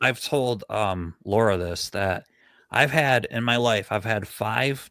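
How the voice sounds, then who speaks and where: A man mumbles his words. The recording is very clean, with a silent background. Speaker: paranormal channel host. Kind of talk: casual chat on live stream. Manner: mumbling, self-described mush mouth.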